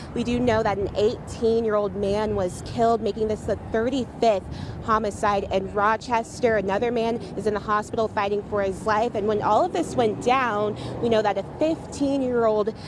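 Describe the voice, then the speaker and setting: Speaking with an American accent, a woman has a fairly high pitch, heard over noticeable background noise. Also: ordinary pitch variation, moderate pace. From Atlanta area, US South. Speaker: TV news anchor and reporter. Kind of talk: news anchor read.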